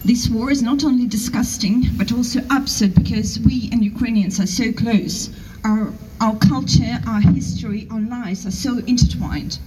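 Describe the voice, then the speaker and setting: Against noticeable background noise and audible room echo, a woman speaks at a fairly high pitch. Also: ordinary pitch variation, moderate pace. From Russia. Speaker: protest speaker. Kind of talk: rally speech.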